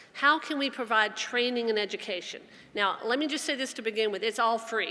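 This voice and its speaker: A woman with a Southern US accent speaks at a fairly high pitch with ordinary pitch variation. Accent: Southern twang. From US South. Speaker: addiction organization executive. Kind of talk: conference talk. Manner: fast; passionate.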